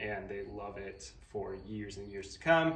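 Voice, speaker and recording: Audible room echo surrounds the voice. A man speaks at a moderate pace with ordinary pitch variation. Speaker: DIY woodworking creator. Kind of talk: tutorial. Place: workshop.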